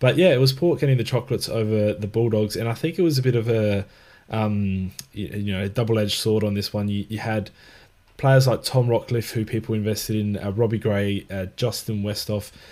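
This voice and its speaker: With an Australian accent, a man speaks at a fairly quick pace in a fairly low, dark and mellow voice with fairly even intonation, on a very clean recording with a silent background. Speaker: fantasy football co-host. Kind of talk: casual chat.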